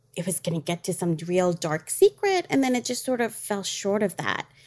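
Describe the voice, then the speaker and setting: At a moderate pace, a woman talks in an ordinary speaking voice at medium pitch with ordinary pitch variation, and the sound is dry and close with no echo. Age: 40s. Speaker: travel company owner and dance teacher. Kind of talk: casual chat.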